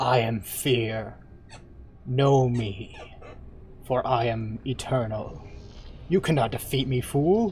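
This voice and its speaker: Clear background noise accompanies a man doing a put-on character voice at a medium pitch, speaking at a very slow pace with long, frequent pauses and ordinary pitch variation. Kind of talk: stagey, slow, snaking. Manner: grandiose, theatrical, carefully enunciated.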